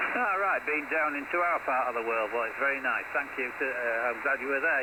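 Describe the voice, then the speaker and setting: The speech moves at a fairly quick pace with ordinary pitch variation. Noticeable background noise and audible room echo are present. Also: man. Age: 60s. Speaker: CB radio operator running a net. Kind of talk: radio chat. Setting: CB radio transmission.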